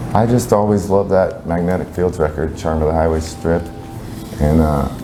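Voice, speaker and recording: Music plays in the background and the room echo is audible as the speaker keeps a moderate pace with ordinary pitch variation. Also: man, very deep, low pitch for a man. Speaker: band singer and guitarist. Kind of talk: interview. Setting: music venue.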